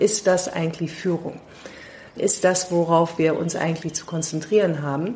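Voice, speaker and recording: A woman's fairly low voice carries fairly even intonation. Background noise is noticeable. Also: moderate pace. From London, England. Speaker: leadership consultant. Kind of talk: interview. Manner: hesitant, many fillers.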